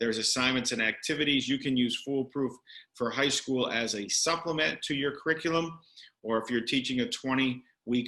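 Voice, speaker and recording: A man speaks in a bright, sharp tone with fairly even intonation. The background is quiet. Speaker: education director presenting curriculum. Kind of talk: professional development presentation. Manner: fast.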